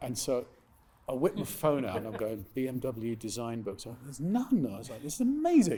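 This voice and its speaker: Speaking at a fairly quick pace with a British accent, a man with a medium pitch and ordinary pitch variation sounds somewhat breathy, his loudness swinging widely. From England. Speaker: author. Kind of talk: live interview at event. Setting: stage with audience. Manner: fast.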